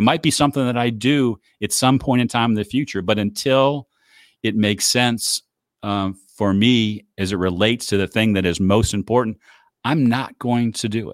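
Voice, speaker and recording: Dry and close with no echo, this very clean recording with a silent background captures a man speaking at a moderate pace with ordinary pitch variation. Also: medium pitch for a man. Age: 60s. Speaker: author and life coach. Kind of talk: interview. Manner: halting.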